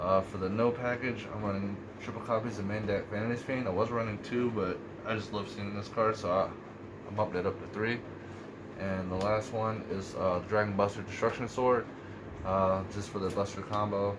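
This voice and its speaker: A man's fairly low, monotone voice with flat intonation, plus audible room echo and noticeable background noise. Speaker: card game youtuber. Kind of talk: tutorial. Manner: fast.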